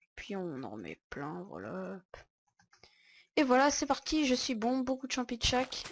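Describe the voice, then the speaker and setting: A woman with a high pitch speaks over a quiet background. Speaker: gaming YouTuber. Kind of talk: gameplay commentary. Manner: low-energy.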